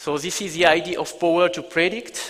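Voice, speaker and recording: Male speaker with a French accent and fairly even intonation, over noticeable background noise. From France. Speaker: business executive. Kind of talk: keynote presentation. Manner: hesitant, many fillers.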